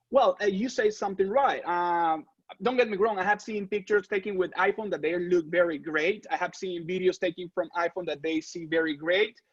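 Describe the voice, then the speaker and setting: A man's high-pitched voice at a fairly quick pace, hardly any pauses, with ordinary pitch variation. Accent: Spanish. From Venezuela. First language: Spanish. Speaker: real estate photographer. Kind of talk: interview. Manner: halting.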